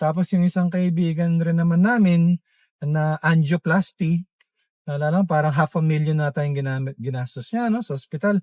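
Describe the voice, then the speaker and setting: His speed is moderate. This man talks with a high voice and ordinary pitch movement. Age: 50s. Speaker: vlogger. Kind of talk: casual monologue. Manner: halting, many fillers.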